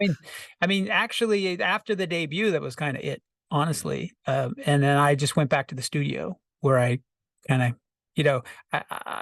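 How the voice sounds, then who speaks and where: A man speaks at a fairly high pitch and a moderate pace, with lively intonation and long, frequent pauses. The sound is dry and close with no echo over a quiet background. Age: 60s. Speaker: rock singer-songwriter and producer. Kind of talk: casual interview.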